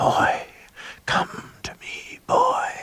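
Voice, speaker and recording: A raspy, whispering put-on character voice delivers the lines. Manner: beckoning, creepy.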